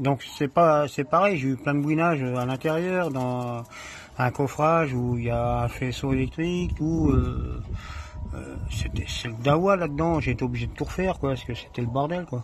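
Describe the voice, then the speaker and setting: A man's medium-pitched voice, with ordinary pitch variation, moves at a moderate pace while noticeable background noise sits behind it. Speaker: amateur mechanic. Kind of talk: casual tutorial. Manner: halting.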